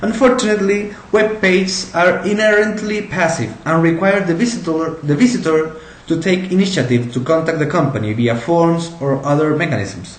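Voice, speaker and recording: A man speaking in a Spanish accent, high-pitched for a man, at a moderate pace, with noticeable background noise and audible room echo. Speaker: entrepreneur. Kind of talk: pitch presentation. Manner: halting, with repeated words.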